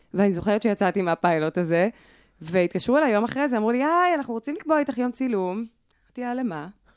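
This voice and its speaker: A woman talks at a very fast pace in an animated tone with very wide pitch swings. The recording is very clean, with a silent background. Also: fairly high pitch for a woman, dry, close sound with no echo. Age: 30s. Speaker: singer. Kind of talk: casual chat.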